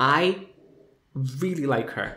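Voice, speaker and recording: Audible room echo surrounds a man speaking with a Portuguese accent. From Brazil, São Paulo. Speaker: video reviewer. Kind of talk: casual commentary review. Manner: animated.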